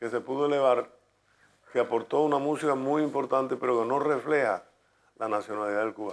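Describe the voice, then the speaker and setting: A man with a medium pitch talks at a fairly quick pace, using fairly even intonation. Long, frequent pauses break up his speech. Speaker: radio announcer and music promoter in Cuba. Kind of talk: documentary interview answer.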